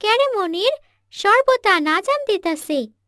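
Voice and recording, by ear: A woman's squeaky, cartoonish character voice at an extremely high pitch, with very wide pitch swings and a dry, close sound with no echo. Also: moderate pace.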